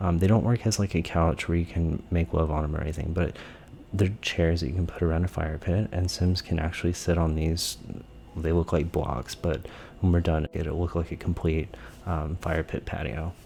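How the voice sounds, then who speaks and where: A man is whispering. His pace is moderate. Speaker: gaming YouTuber. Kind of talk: tutorial commentary. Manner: soft-spoken.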